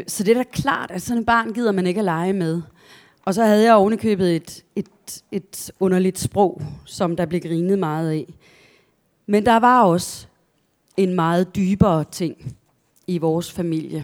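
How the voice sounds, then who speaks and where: At a fairly slow pace with long, frequent pauses, a woman talks in a medium pitch with ordinary rise and fall. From southern Jutland, Denmark (near Kolding). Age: 50s. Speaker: novelist. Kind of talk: author talk with readings from own novel. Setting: library event with live audience.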